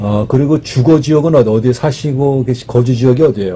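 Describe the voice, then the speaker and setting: Over noticeable background noise, a man speaks at a moderate pace with a medium pitch and ordinary pitch variation. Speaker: matchmaking show host. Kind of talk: interview questions.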